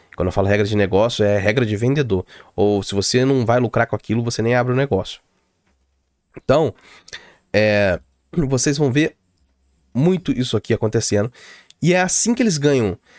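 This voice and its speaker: With lively intonation and long, frequent pauses, a man speaks in a dry sound with no echo against a quiet background. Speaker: tech tutorial youtuber; security explainer or streamer. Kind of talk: tutorial. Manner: fast; casual, hesitant fillers.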